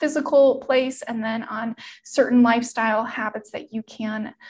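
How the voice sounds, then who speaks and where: A woman with an unremarkable speaking voice, fairly high pitch and fairly even intonation. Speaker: health coach. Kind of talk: webinar presentation. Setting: online webinar with slides.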